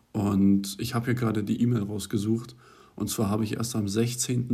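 A man speaks at a moderate pace with a dark, mellow tone, somewhat breathy, and fairly even intonation. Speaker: university student, podcast co-host. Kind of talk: casual chat.

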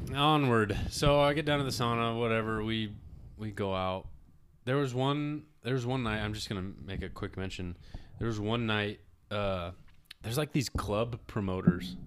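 The recording is very clean, with a silent background. A man with an ordinary speaking voice and medium pitch talks at a moderate pace with ordinary pitch variation. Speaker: podcast host. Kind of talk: casual banter podcast chat.

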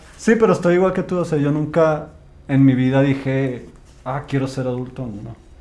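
At a moderate pace, a man talks at a fairly high pitch with ordinary pitch variation amid audible room echo. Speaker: podcast co-host. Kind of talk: casual chat.

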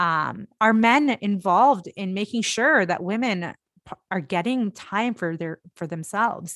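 A woman with a Canadian accent speaks at a medium pitch with lively intonation. The sound is dry and close with no echo, over a quiet background. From India, moved to Canada at ten. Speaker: health professional and mother. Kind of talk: casual interview chat. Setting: video call.

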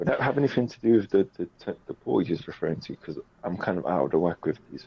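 Very fast and with vocal fry, a man speaks at a fairly low pitch, with very wide pitch swings and big swings in loudness. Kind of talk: casual chat. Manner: halting.

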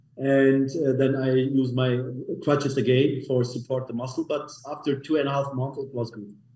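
Speaking at a medium pitch in a monotone, flat delivery, a man is heard over noticeable background noise. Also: moderate pace. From Germany, Munich. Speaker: clinic co-founder. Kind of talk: interview.

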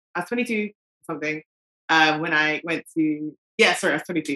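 A woman speaks in a London accent with a very deep, low pitch. Her tone is bright and sharp. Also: dry, close sound with no echo. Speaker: parent. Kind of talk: casual chat.

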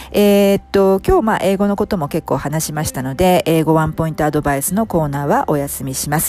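A woman speaks at a fairly quick pace with hardly any pauses, her very deep, low voice dark and mellow in tone, with ordinary pitch variation. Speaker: coaching podcast host and English coach. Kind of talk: casual explanatory monologue, Japanese mixed with English. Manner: fast when speaking English; many fillers and hesitations.

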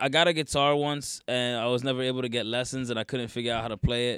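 This man speaks with an American accent in a normal speaking voice. His pitch is medium and his intonation fairly even. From northern New Jersey. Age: 20s. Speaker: musician. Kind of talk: casual chat.

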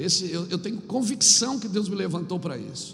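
A man talking at a fairly quick pace with lively intonation, amid noticeable background noise and audible room echo. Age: 50s. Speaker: pastor. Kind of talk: sermon. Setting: church.

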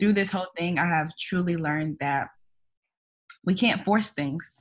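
Intonation stays fairly even throughout this normal speaking voice. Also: woman. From US Midwest, Kansas City, Missouri. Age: 20s. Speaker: author and entrepreneur. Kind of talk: casual interview.

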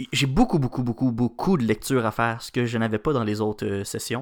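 The speaker is a man with a Quebec accent. His pitch is medium. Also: very clean recording, silent background. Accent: Québécois French. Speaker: news podcast co-host, student. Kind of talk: morning news chat.

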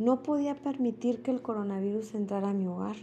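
This woman has an ordinary speaking voice with fairly high pitch and ordinary pitch variation. She talks at a moderate pace. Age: 30s. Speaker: intensive care nurse. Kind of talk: personal testimony, read from a script. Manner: formal.

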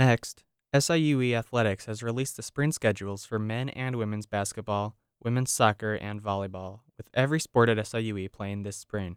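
This man has a normal speaking voice, fairly low in pitch, with ordinary pitch variation. He talks at a fairly quick pace in a very clean recording with a silent background. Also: dry, close sound with no echo. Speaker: student news reporter.

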